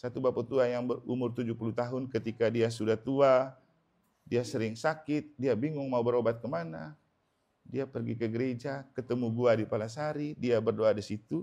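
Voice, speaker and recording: A man with a medium pitch and a dark, mellow tone talks at a fairly quick pace, his pitch varying in an ordinary way. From Manggarai, Flores, eastern Indonesia. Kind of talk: sermon. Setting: house blessing Mass in a home. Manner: conversational.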